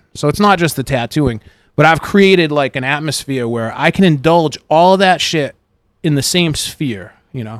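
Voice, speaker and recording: In a very clean recording with a silent background, a man with an unremarkable speaking voice speaks at a moderate pace, fairly high in pitch and with lively intonation. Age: 30s. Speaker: tattoo artist and shop owner. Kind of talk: casual chat. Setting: tattoo shop.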